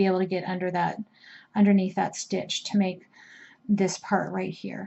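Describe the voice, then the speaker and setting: A woman with a somewhat breathy voice. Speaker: crochet instructor. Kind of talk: tutorial. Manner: slow; casual, with hesitations.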